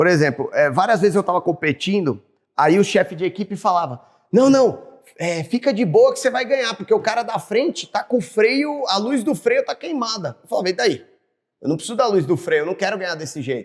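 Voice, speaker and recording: Talking fairly quickly, a man uses a high pitch that swings very widely. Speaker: racing driver. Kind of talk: casual chat.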